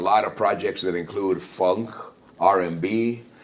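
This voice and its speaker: Against noticeable background noise, a man with an American accent talks in an animated tone at a moderate pace with ordinary pitch variation. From New Mexico, US. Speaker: flamenco singer. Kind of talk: interview. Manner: animated storytelling.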